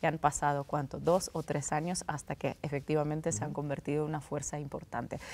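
Talking very fast with hardly any pauses, a woman keeps a very deep, low pitch and monotone, flat intonation. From Russia. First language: Russian (speaking Spanish). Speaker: political journalist. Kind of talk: interview. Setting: studio. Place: studio. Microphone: lapel.

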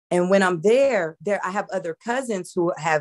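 Against a quiet background, the speaker uses lively intonation at a moderate pace, in an American accent. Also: woman. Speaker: convert sharing story. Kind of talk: personal testimony. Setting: video call. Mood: warm, smiling. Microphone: video call.

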